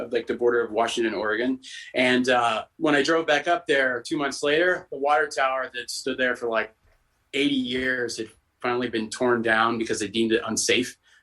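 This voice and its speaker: At a fairly quick pace, a man speaks with a bright, sharp tone. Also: medium pitch for a man. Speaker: punk rock musician. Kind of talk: casual interview chat. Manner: animated, rambling.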